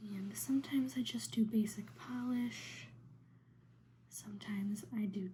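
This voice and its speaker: A soft-spoken, somewhat breathy woman with a very deep, low pitch, very wide pitch swings, and a fairly slow pace. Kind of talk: ASMR soft spoken nail painting.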